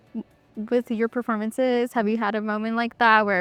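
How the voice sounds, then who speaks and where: Here a woman talks at a fairly quick pace in a plain, everyday voice. The sound is dry and close, with no echo. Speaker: podcast host. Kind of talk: interview questions.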